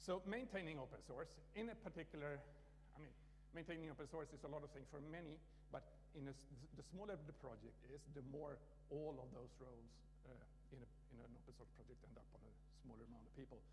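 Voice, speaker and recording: A man with a Swedish accent at a very fast pace, broken by long, frequent pauses, in audible room echo. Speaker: conference speaker, open source maintainer. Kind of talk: conference talk. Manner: halting, many restarts.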